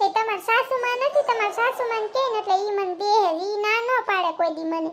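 An extremely high, female-sounding voice performs a cartoonish character. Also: moderate pace. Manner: gossipy, wheedling.

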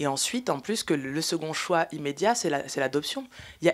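Her voice is an ordinary speaking voice, a woman's, set at a fairly low pitch. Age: 30s. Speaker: filmmaker and panel moderator; panel moderator. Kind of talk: panel discussion. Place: hall.

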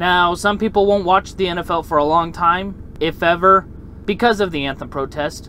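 A man speaks in a high pitch at a moderate pace with ordinary pitch variation. The sound is dry with no echo, over light background noise. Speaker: opinion vlogger. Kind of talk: opinion commentary. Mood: argumentative, confident. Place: car. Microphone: phone near.

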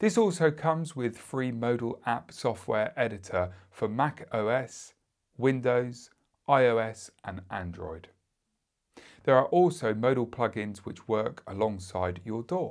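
A man speaks at a very slow pace against a quiet background. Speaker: product reviewer. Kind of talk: product review. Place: studio.

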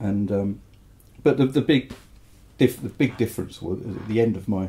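His voice has a dark, mellow tone. The man sounds somewhat breathy. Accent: English. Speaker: mastering engineer and record producer. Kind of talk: interview. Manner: hesitant, many fillers.

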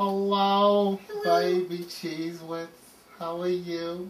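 This put-on character voice sounds female, sits at middle pitch and moves at a very slow pace. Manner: performing a funny voice.

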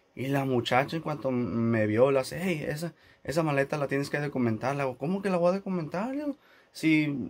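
The speaker uses lively intonation at a moderate pace. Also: man. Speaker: YouTuber. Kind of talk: casual vlog. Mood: annoyed, recounting airline dispute. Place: studio. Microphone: phone near.

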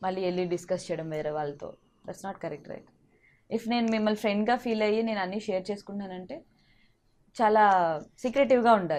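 A woman's medium-pitched voice, an ordinary speaking voice with ordinary pitch variation, over a quiet background. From Andhra Pradesh, Vizag. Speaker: actress and TV comedian. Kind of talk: interview.

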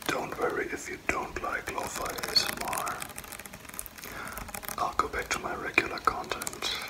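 Whispering and soft-spoken, a man goes at a moderate pace over loud background noise. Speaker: ASMR creator. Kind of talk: soft-spoken ASMR chat. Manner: soft ASMR whisper. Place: home room. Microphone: phone near.

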